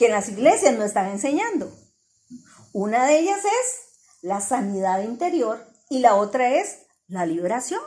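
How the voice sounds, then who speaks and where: Very wide pitch swings mark this fairly slow delivery, with audible room echo around the voice. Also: woman. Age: 60s. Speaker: church teacher. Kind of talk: religious teaching in group discussion.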